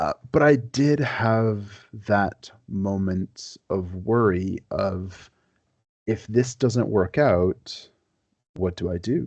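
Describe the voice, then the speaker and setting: Speaking at a very slow pace, a man uses a fairly low pitch with ordinary pitch variation. The sound is dry and close with no echo, over a quiet background. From Quebec. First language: French. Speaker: historian. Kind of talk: podcast interview.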